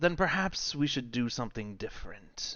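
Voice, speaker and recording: A man performs a put-on character voice with a fairly high pitch. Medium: actual play. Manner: smug, menacing.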